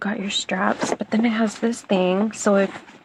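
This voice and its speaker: A woman talks at medium pitch and a very slow pace. Her intonation stays monotone and flat. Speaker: product reviewer. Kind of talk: product review. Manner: whispering.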